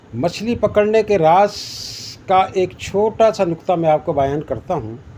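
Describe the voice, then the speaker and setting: There is noticeable background noise as a man with a high voice speaks with lively intonation. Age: 60s. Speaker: veteran angler. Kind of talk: casual talk.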